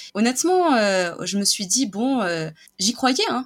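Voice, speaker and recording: Here is a woman with a normal speaking voice. She talks at a fairly slow pace with lively intonation. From France, Nice hinterland. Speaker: illustrator. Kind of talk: casual interview.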